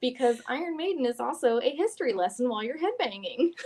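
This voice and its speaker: With a Southern US accent, this voice moves at a fairly quick pace through very wide pitch swings. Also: woman. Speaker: guest co-host, hair stylist podcaster. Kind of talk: casual chat. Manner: animated.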